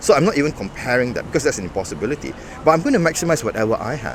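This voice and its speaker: Noticeable noise sits in the background. Over it, a man talks. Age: 50s. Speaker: bodybuilding coach and lecturer. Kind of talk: interview.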